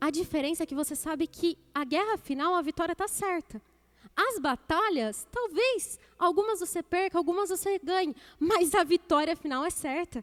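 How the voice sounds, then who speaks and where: A woman talks in an extremely high pitch with an animated tone and lively intonation, and the sound is dry and close with no echo. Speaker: deaconess preaching. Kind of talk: sermon. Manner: fast.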